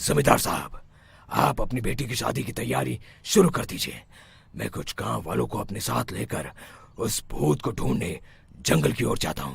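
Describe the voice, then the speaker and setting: Using a cartoonish character voice, a man speaks at a moderate pace with a very deep, low pitch and very wide pitch swings. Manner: assured, authoritative.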